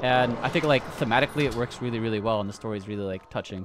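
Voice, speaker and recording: Through noticeable background noise, a man's very fast speech carries fairly even intonation. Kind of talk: casual chat.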